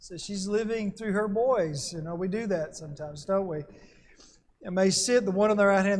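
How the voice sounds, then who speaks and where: A fairly quick pace with audible room echo. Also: man. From Alabama. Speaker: Bible class teacher. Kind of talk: Bible class lecture.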